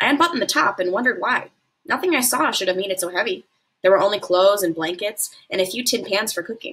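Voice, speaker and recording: Lively intonation marks this woman's voice as she speaks at a very fast pace. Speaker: teacher reading to students. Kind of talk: read-aloud storytelling. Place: home room. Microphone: webcam.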